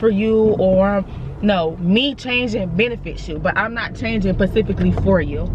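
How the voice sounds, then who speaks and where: Over noticeable background noise, a woman talks in an animated tone at a medium pitch with ordinary pitch variation. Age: 20s. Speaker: vlogger. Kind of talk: casual monologue vlog. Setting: in a car.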